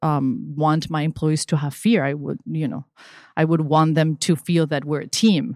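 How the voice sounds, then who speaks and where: The recording is very clean, with a silent background and a dry, close sound free of echo. A woman speaks in a fairly low voice with a Spanish accent. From Venezuela. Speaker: digital marketing consultant. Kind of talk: casual interview.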